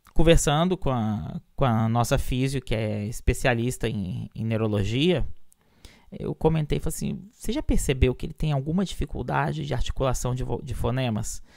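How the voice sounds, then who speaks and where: A very clean recording with a silent background carries speech at a moderate pace. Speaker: orientation and mobility teacher. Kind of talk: lecture.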